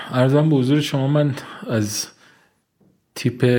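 Speech at a moderate pace, very cleanly recorded against a silent background. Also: man. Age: 40s. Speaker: engineer at an engineering consultancy. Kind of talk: interview. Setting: studio. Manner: formal.

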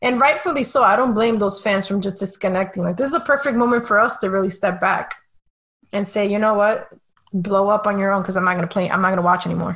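A woman with a Spanish accent, medium pitch and ordinary pitch variation, at a very fast pace. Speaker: sports writer and podcast host. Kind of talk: casual chat.

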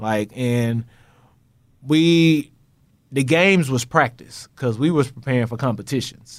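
A medium-pitched man with an American accent, fairly slow pace, ordinary pitch variation and long, frequent pauses, on a very clean recording with a silent background. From Texas. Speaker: math professor. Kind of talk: casual interview chat. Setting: studio, sitting across from host.

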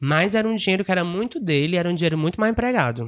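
A man talks at a very fast pace. The sound is dry and close with no echo, and the background is quiet. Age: 20s. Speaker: podcast guest. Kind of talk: casual chat.

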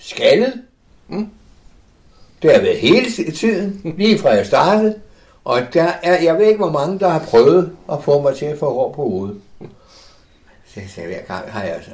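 Pausing long and often, a man talks at a fairly slow pace in a high voice that swings very widely in pitch. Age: 80s+. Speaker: interviewee, older online gamer. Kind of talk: casual interview. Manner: halting.

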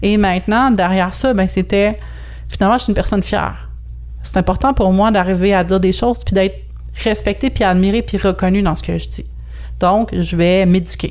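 Long, frequent pauses break up this woman's speech. Between them, she keeps a moderate pace. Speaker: astrologer and personal development consultant. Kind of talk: podcast interview. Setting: video call.

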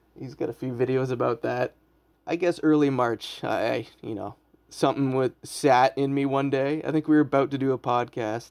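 Using a plain, everyday voice, a man speaks at medium pitch and moderate pace with fairly even intonation. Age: 30s. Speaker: podcast host and comedian. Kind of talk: casual chat. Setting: home basement.

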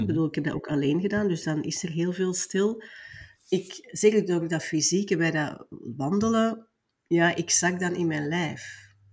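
A woman speaks in a plain, everyday voice at a fairly low pitch. She keeps a moderate pace and ordinary pitch variation. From Belgium (Flanders). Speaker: business mentor. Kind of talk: interview.

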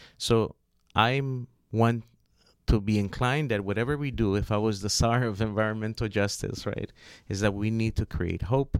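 A man talks in a plain, everyday voice with an American accent, fairly low in pitch, at a moderate pace with fairly even intonation. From US, Los Angeles (South Central). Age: 40s. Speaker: environmental justice advocate. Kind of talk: radio interview.

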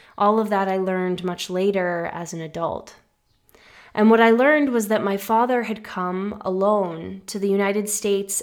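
In an American accent, a woman with a medium pitch and a plain, everyday voice speaks at a moderate pace with fairly even intonation on a very clean recording with a silent background. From US, Massachusetts. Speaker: podcast host. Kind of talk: personal storytelling narration.

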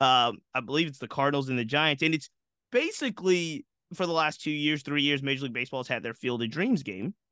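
A man's bright, sharp, fairly high voice at a fairly quick pace, ordinary in pitch variation, dry and close with no echo, against a quiet background. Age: 40s. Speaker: baseball history podcaster. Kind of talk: interview.

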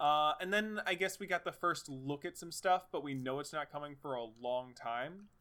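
A man with a fairly high pitch talks at a moderate pace with hardly any pauses, his tone animated, bright and sharp, with ordinary pitch variation. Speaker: video game podcast host. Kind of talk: casual chat. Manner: animated, joking.

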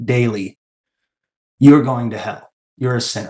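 A man with an American accent, medium pitch, an unremarkable speaking voice and ordinary pitch variation. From Washington State, US (Tacoma). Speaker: cult survivor. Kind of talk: testimony.

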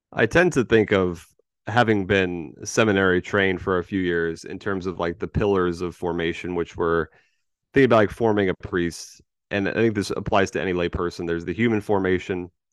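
A man talks fairly quickly at a very deep, low pitch with fairly even intonation. The background is quiet. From Florida, Tampa Bay. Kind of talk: casual chat.

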